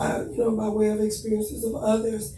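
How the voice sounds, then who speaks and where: A woman is speaking in a space with audible room echo. Music plays in the background. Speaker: conference host. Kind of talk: panel discussion. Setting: conference panel.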